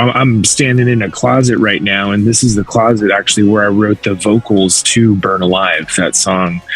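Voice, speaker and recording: Over music in the background, a man with an American accent talks at a moderate pace in a fairly low voice with ordinary pitch variation. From USA. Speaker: rock band vocalist. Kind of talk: interview. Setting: video call from a closet.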